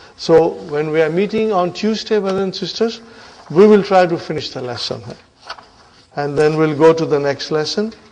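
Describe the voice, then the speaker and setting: Over noticeable background noise and audible room echo, a man speaks at a high pitch with ordinary pitch variation and big swings in loudness. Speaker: Arabic teacher. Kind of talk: lecture. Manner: slow.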